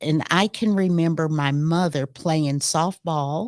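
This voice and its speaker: With a Middle Tennessee accent, a woman speaks in a very deep, low voice. The sound is dry and close with no echo, in a very clean recording with a silent background. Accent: Southern American (Middle Tennessee). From US South. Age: 70s. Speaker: retired university educator. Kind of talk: interview.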